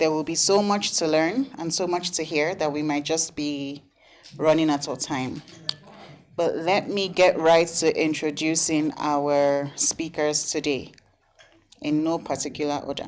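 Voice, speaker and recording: A woman's very deep, low voice with a Nigerian accent, at a fairly slow pace with fairly even intonation. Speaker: panel moderator. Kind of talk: conference panel moderation. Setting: conference room with audience.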